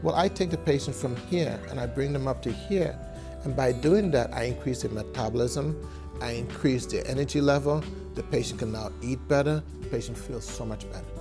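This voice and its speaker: Music plays behind a man whose very deep, low voice moves at a fairly quick pace with very wide pitch swings. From Trinidad and Tobago. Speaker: physician. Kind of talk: interview answer.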